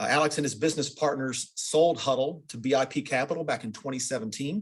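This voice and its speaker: A man speaks in a normal speaking voice, pitched fairly high. His pace is fairly quick, with ordinary pitch variation. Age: middle-aged. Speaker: interviewer for a company's internal training program. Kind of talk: interview.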